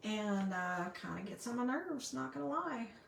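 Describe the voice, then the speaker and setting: A woman with a Southern US accent speaks at a medium pitch. Noticeable background noise runs underneath. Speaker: card-making crafter. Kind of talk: live craft tutorial. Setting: livestream at craft table. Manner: casual, chatty.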